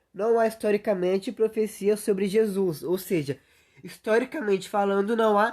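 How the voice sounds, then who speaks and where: A woman is speaking. She has an unremarkable speaking voice over a quiet background. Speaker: youtuber. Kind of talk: livestream monologue. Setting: solo livestream.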